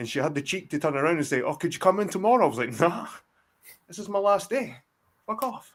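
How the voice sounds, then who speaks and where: Speaking with a Scottish accent, a man sounds animated, with lively intonation. The recording is very clean, with a silent background. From Scotland. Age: 40s. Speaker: guest on a live stream. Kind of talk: casual chat. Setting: live stream.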